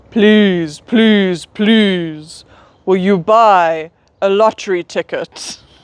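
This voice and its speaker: A booming put-on character voice at middle pitch, delivered at a very slow pace. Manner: powerful.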